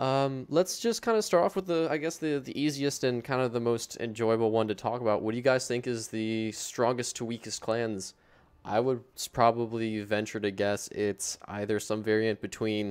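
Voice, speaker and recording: Ordinary pitch variation at a moderate pace, on a very clean recording with a silent background. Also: man. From United States. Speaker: gaming stream host. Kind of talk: casual panel chat. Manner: halting, many fillers.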